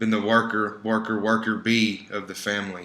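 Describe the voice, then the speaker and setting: A man's fairly low voice with a bright, sharp tone, moderate pace, and audible room echo. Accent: American. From Texas, Dallas. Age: 20s. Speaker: student presenter. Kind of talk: presentation with slides. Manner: informal, conversational.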